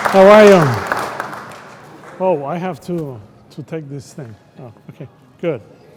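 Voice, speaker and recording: Crowd noise sits in the background as a man talks at a fairly slow pace with long, frequent pauses. His pitch is high, with ordinary variation. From Puerto Rico. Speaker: economist. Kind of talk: keynote talk. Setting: event venue with audience. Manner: hesitant, repeats words.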